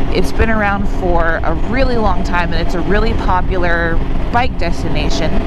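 A woman's voice at a moderate pace with ordinary pitch variation, a dry sound with no echo and loud background noise. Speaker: motorcycle vlogger. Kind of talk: casual vlog chat. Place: motorbike. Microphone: helmet.

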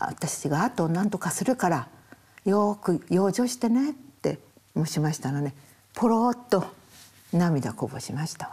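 A woman speaks fairly slowly at a fairly low pitch, her tone dark, mellow and somewhat breathy. Her pitch swings very widely and her loudness shifts a lot. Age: 80s+. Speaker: portrait photographer. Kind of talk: interview answer. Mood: tender, reflective about late husband.

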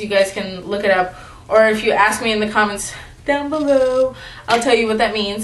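At a moderate speed comes an unremarkable speaking voice. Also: woman. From United States. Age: 18. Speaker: YouTuber. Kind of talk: casual vlog. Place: home room. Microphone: phone near.

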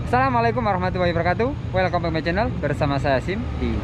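Over loud background noise, a man talks at a very fast pace, the sound dry with no echo. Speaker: travel vlogger. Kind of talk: casual vlog chat. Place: street. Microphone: phone near.

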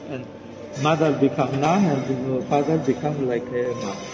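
At a fairly slow pace, a man speaks over noticeable background noise. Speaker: local tour guide. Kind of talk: tour guide explanation. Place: church. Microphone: camera far.

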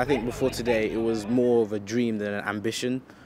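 Fairly quick, fairly even intonation, a dry sound with no echo and noticeable background noise. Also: man. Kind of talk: interview answer. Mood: calm, positive. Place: street.

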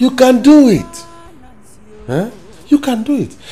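A man's put-on character voice at an extremely high pitch, dark and mellow in tone, slow, with big pitch swings and audible room echo

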